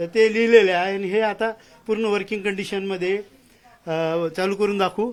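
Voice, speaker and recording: A man talks in a high-pitched voice with flat, monotone intonation. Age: 50s. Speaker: antique radio collector. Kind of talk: casual interview.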